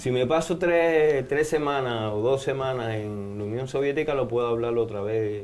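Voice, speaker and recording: A man at a medium pitch talks in a space with audible room echo. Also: ordinary pitch variation, moderate pace. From Cuba. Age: 70s. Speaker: anthropologist and religious researcher. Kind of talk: interview.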